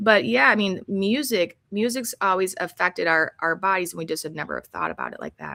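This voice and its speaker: At a fairly quick pace, a woman with a medium pitch speaks in a bright, sharp tone with vocal fry, lively intonation and big swings in loudness. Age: 50s. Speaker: health coach. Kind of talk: casual interview chat. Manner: rambling, halting.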